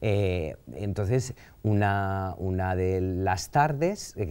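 In a dark, mellow tone, a man speaks at a fairly low pitch. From Valencia, Spain; Spain. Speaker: painter; interview guest. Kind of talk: interview conversation. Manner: halting, many fillers. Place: studio.

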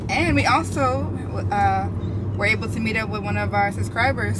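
The recording is dry, with no echo, and loud noise runs underneath. The speech moves at a moderate pace. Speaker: vlogger. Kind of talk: casual vlog chat. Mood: relaxed, cheerful. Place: car.

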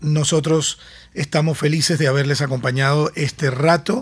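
A man speaks at a fairly slow pace with a fairly high pitch. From Caracas, Venezuela. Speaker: podcast host, former radio host. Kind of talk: interview conversation.

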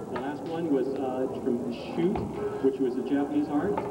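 A man at a fairly quick pace with ordinary pitch variation, with music in the background. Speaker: demonstration announcer. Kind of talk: commentary. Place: street.

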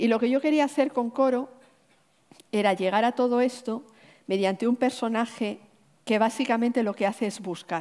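Against a quiet background, a woman with a fairly high pitch and ordinary pitch variation speaks with long, frequent pauses. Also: moderate pace. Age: 50s. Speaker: novelist and poet; poet. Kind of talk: onstage literary conversation. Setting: stage with audience. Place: stage. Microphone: headset.

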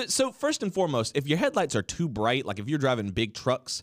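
Against a quiet background, a man's voice moves through very wide pitch swings. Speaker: podcast co-host. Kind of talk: casual podcast banter. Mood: playful annoyance, laughing. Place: studio. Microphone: studio mic.

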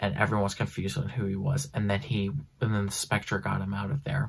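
A quiet man's voice, fairly low in pitch, with lively intonation and a fairly quick pace. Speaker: comic book reviewer. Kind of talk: casual comic book review talk to camera. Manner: quiet, hushed. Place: home room. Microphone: phone near.

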